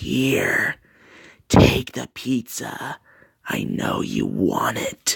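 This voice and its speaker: A man's put-on character voice, whispering and growling in a sinister tone, at a very slow pace with long, frequent pauses. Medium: read story. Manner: creepy, sinister.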